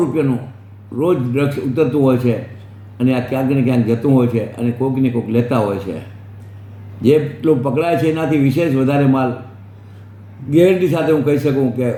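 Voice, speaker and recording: There is audible room echo around a man's voice. Noticeable background noise runs underneath. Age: 80s+. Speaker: social worker. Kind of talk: public appeal monologue.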